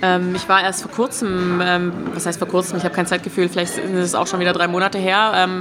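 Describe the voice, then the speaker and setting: Fairly quick pace with noticeable background noise. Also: woman. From Stuttgart, Swabia. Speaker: animator and festival organizer. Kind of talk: casual interview. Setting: restaurant.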